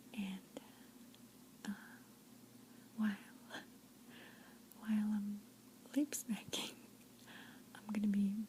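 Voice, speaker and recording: A woman with a fairly high, somewhat breathy voice and a dark, mellow, gentle tone speaks very slowly in monotone, flat intonation, with long, frequent pauses and big swings in loudness. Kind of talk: ASMR soft-spoken storytelling with lip smacking. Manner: soft-spoken, gentle, whispery.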